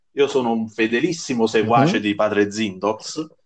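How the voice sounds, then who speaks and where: The man speaks at medium pitch with ordinary pitch variation. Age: 30s. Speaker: online football manager game player. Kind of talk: casual chat. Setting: live podcast.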